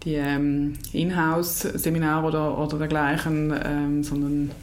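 Audible room echo surrounds a woman whose pitch is very deep and low. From eastern Switzerland. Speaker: equestrian federation official. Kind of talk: interview. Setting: studio, face to face. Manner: hesitant, many fillers.

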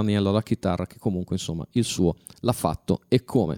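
A man speaks in a dark, mellow tone with ordinary pitch variation. The recording is very clean and dry, with a silent background and no echo. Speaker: web radio host. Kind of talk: radio show talk. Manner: hesitant, many fillers.

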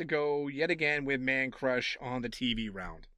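Speaking in a Massachusetts accent, the voice has a bright, sharp tone and a fairly slow pace over a quiet background. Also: man. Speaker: judge. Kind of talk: casual banter.

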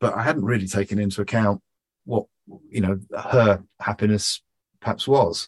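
In a London accent, a man speaks at a moderate pace with a fairly low pitch, fairly even intonation and long, frequent pauses, in a dry, close sound with no echo. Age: 50s. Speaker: entrepreneur. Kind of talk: podcast interview.

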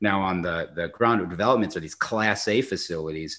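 A bright, sharp tone at a fairly quick pace with ordinary pitch variation. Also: man. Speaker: self-storage investor. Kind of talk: casual interview. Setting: video call. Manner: fast talker.

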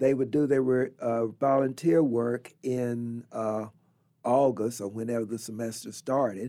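Someone speaks at a fairly slow pace with an American accent, fairly even intonation and a dark, mellow tone. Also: man. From Southwest Virginia. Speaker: retired professor and author. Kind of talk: radio interview. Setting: studio.

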